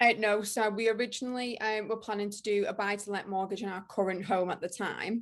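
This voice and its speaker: A woman at medium pitch with a strong northern English accent, monotone, flat intonation, a fairly quick pace and hardly any pauses, over a quiet background. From northern England, Widnes in Cheshire. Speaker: ship planner and interior design influencer. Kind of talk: podcast interview. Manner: hesitant, many fillers.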